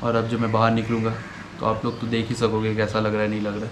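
A man's fairly low voice at a moderate pace, with little pitch movement and faint background noise

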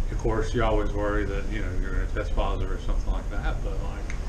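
A man talks at a very fast pace. Noticeable background noise is audible. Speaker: travel vlogger. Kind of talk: casual vlog chat. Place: home room. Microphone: phone near.

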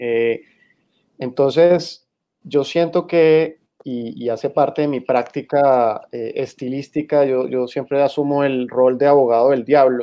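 Pitched fairly high, a man speaks very slowly with fairly even intonation. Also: quiet background. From Colombian Caribbean, San Andrés island; Colombia. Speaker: magazine editor; guest, lawyer. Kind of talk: panel discussion. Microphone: video call.

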